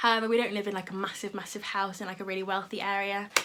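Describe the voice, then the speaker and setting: A woman at a very fast pace and medium pitch, flat and monotone, with audible room echo and noticeable background noise. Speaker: YouTuber. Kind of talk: casual chat. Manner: halting.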